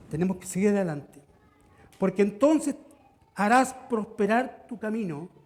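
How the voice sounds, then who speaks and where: This man speaks at a high pitch. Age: 60s. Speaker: pastor. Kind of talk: sermon. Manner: halting.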